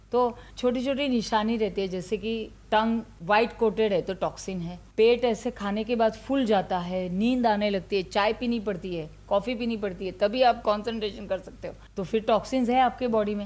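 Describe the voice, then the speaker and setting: In an unremarkable speaking voice, a woman talks at a fairly high pitch with fairly even intonation and hardly any pauses. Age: 60s. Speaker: ayurveda doctor. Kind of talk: interview. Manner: conversational, Hindi-English code-mixing.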